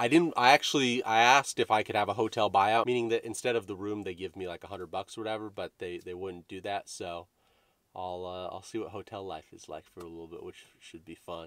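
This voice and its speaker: A man speaks fairly quickly in a fairly low pitch with ordinary pitch variation. The sound is dry, with no echo. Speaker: comedian vlogger. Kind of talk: casual vlog chat. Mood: wry, joking. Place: car. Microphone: phone near.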